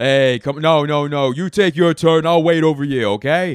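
In a put-on, gruff character voice with a New York accent, a man speaks at a moderate pace with a fairly high pitch. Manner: gruff, confrontational.

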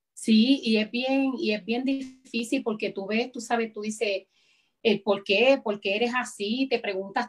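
This woman has an unremarkable speaking voice, pitched fairly high. Her pace is moderate and her intonation fairly even. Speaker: evangelist. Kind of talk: interview testimony. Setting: video call. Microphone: connection freezing.

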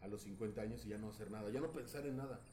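With audible room echo, a man speaks at a fairly quick pace and medium pitch with ordinary pitch variation. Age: 40s. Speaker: podcast host. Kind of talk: casual chat.

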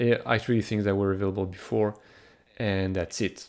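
Delivery moves at a fairly quick pace. The intonation is monotone and flat. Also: man. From France. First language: French. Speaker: hockey analytics podcaster. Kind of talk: casual chat.

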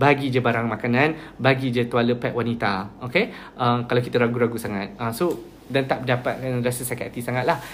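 A man's fairly quick delivery with fairly even intonation over noticeable background noise. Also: medium pitch for a man. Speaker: NGO volunteer leader. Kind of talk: live stream talk. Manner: code-switching Malay and English.

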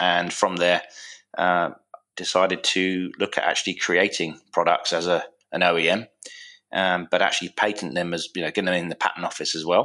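A man with a southern English accent speaks at a very deep, low pitch, bright and sharp in tone, fairly quick and monotone against a quiet background. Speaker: product manufacturer, former navy engineer. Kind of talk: podcast interview.

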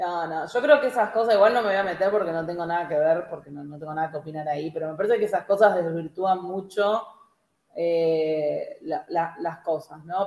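In a Rioplatense accent, a woman speaks with lively intonation. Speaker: podcast co-host. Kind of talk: casual livestream chat.

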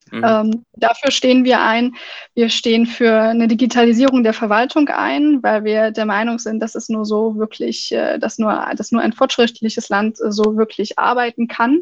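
Her voice fairly high, a woman keeps her intonation fairly even while talking at a moderate speed. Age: 20s. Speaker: party state chair and student. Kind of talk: interview. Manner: hesitant, many fillers.

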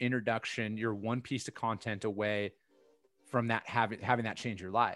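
A man talks at a moderate pace in a plain, everyday voice. His pitch is medium, and his intonation stays fairly even. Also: very clean recording, silent background. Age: 30s. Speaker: freight sales coach. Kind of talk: casual chat.

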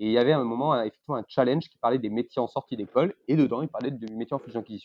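The speaker is a man. His pitch is medium. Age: 30s. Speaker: investment banker. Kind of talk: interview.

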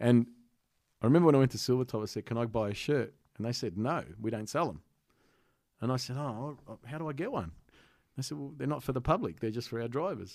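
In a very clean recording with a silent background, a man with an Australian accent speaks very fast at a medium pitch, with ordinary pitch variation and long, frequent pauses. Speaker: comedian. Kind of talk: casual chat.

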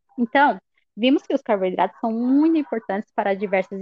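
At a moderate pace, a woman with a high voice speaks with lively intonation. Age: 20s. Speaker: university student. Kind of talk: scripted educational podcast.

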